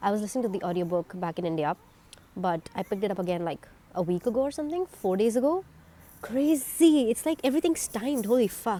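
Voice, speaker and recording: Her tone dark and mellow, a woman rushes at a very fast pace with very wide pitch swings. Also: fairly high pitch for a woman. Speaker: vlogger. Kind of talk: reaction video. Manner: animated.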